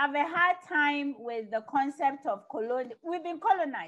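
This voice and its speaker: A high-pitched woman with a Ghanaian accent talks at a fairly slow pace with lively intonation. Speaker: webinar panellist. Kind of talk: panel discussion.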